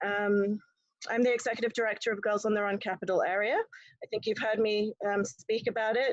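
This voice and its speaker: A woman talks at a fairly quick pace with an English accent. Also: quiet background. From England. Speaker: nonprofit executive director. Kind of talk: club member self-introduction. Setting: video call. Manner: frequent ums.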